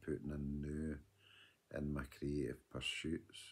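This man has a very deep, low pitch and speaks with a west of Scotland accent. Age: 50s. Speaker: vlogger. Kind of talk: video diary monologue. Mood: earnest, advising. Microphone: phone near.

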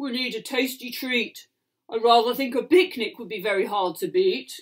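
At a moderate pace, a female-sounding speaker puts on a character voice with fairly high pitch. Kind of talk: bedtime story. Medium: read story. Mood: sighing, thoughtful.

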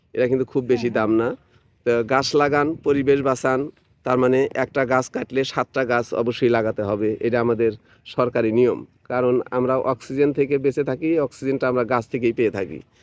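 In a dry, close sound with no echo, a man speaks in a normal speaking voice with fairly even intonation. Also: medium pitch for a man. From Bangladesh, Sirajganj district. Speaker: YouTube vlogger. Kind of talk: on-location video tour and interview.

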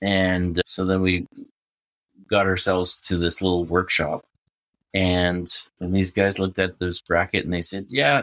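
Delivered at a moderate pace with fairly even intonation and a Western Canadian accent, the speech has a dry, close sound with no echo on a very clean recording with a silent background. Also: man. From Prince George, British Columbia. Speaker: overland event organizer and traveler. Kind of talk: casual interview chat.

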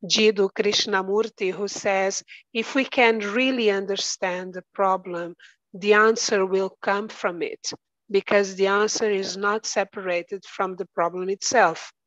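Speaking with a Portuguese accent at a fairly slow pace, a woman is heard over a quiet background, the sound dry with no echo. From Angola. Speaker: architecture researcher and teacher; teacher. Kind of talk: conference panel presentation. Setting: video call. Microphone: video call.

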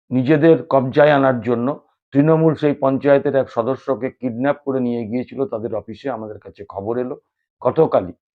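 A man with a plain, everyday voice speaks at a medium pitch, his intonation fairly even but his loudness swinging widely. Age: 50s. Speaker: YouTube political commentator. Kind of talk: political news commentary monologue.

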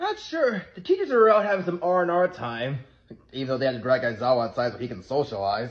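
Somewhat breathy, a man talks at a very fast pace. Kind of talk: character roleplay skit dialogue. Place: home room. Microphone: phone near.

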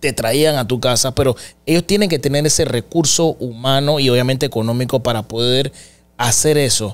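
At a moderate pace, a man talks with ordinary pitch variation and very even loudness. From Panama. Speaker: podcast host. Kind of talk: interview. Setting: studio. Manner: animated. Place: studio. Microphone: studio mic.

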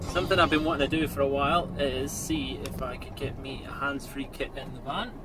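A man's voice competes with heavy background noise. No echo colors the dry sound. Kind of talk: casual vlog chat. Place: car. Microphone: phone near.

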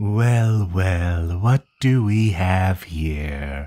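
A man speaks here. He uses a put-on character voice. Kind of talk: soothing sleep-aid roleplay. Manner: gentle, reassuring, softly possessive.

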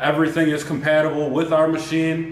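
A man talks at a moderate pace amid audible room echo and light background noise. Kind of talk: product presentation. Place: workshop.

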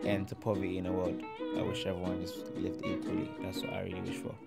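The speech moves at a very fast pace. Loud music plays in the background. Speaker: interviewee. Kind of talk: interview answer. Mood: earnest, heartfelt. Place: hall. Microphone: handheld.

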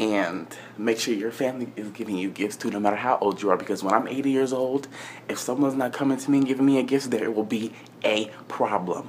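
Over light background noise, a man talks at a fairly quick pace in an animated tone. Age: 20s. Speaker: vlogger. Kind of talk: casual vlog rant. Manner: sassy, exasperated. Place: home room. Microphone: phone near.

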